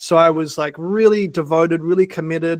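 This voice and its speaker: A man with an Australian accent speaks at a moderate pace in a high voice, recorded with a dry, close sound, no echo and a quiet background. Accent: thick Australian. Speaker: workshop facilitator and mindset coach. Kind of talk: online workshop talk.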